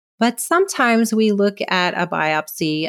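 A woman speaks with a West Coast US accent. Her intonation is lively. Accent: General American (West Coast). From California. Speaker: dermatopathologist. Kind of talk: educational interview.

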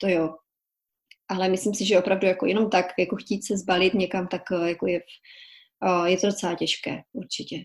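At a moderate pace, a woman speaks at medium pitch with fairly even intonation and long, frequent pauses. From Czech Republic, small village Kobeřice (Silesia). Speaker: journalist and author. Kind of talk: casual interview.

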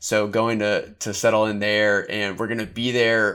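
A man with an American accent speaks at a medium pitch and moderate pace in a bright, sharp tone. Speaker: podcast host and apparel brand founder. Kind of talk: interview conversation.

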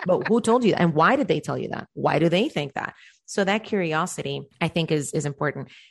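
A woman with a fairly low pitch and vocal fry talks at a fairly quick pace in an animated tone with lively intonation. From Cuba. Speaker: life coach. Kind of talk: interview.

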